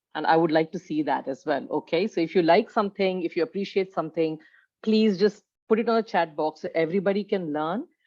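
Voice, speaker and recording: A woman's fairly low voice at a very fast pace. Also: ordinary pitch variation. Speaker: leadership coach. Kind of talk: webinar presentation.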